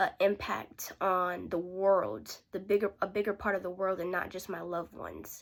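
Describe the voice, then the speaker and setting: A woman with an unremarkable speaking voice and medium pitch talks at a moderate pace on a very clean recording with a silent background. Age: young. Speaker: aspiring sales rep preparing for interview. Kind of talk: interview practice tutorial. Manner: casual, self-correcting.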